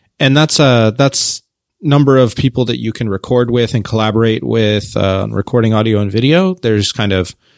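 In an ordinary speaking voice, a man with an American accent talks at a moderate pace and a fairly low pitch. His pitch variation is ordinary, and the background is quiet. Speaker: platform company representative.

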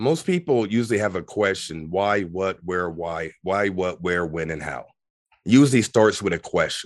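A man with a very deep, low pitch speaks at a moderate pace. His pitch varies in an ordinary way over a quiet background. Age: 40s. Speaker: spiritual teacher. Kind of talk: casual chat.

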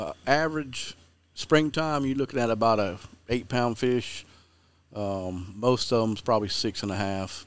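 Fairly slow pace from a man, his pitch varying in an ordinary way. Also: medium pitch for a man. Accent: Southern US. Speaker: fishing guide and TV host. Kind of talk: casual interview chat.

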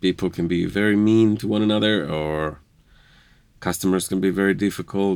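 Speaking at a fairly quick pace with an Israeli accent, a man uses a fairly low pitch on a very clean recording with a silent background. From Israel, Jerusalem. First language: Hebrew. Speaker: interviewee, spouse of host. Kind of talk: casual interview. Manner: hesitant, with filler words.

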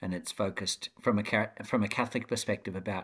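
A man with an Australian accent, fairly low-pitched, at a fairly quick pace. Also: very clean recording, silent background. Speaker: educator and author. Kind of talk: interview.

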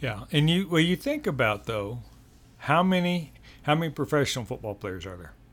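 A man with an American accent and a fairly high, somewhat breathy voice swings very widely in pitch and greatly in loudness on a very clean recording with a silent background. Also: moderate pace. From Colorado, Denver (born Texas Panhandle). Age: 60s. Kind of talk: casual interview. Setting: home nursery room.

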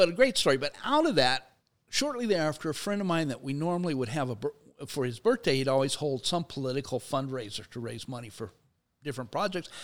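Lively in intonation, a man speaks very fast at a fairly high pitch. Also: very clean recording, silent background. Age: 60s. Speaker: sociology professor and labor activist. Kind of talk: in-depth interview. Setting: studio.

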